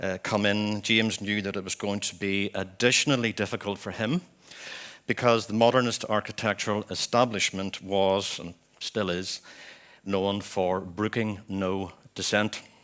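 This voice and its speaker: In a Belfast accent, a man talks at a moderate pace with a fairly low pitch and fairly even intonation. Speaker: architect. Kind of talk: memorial conference talk.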